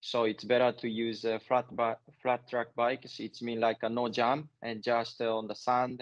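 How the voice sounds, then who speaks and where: A man talks at a fairly slow pace. The background is quiet. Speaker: interviewee. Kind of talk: interview answer. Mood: relaxed, friendly. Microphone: earbuds.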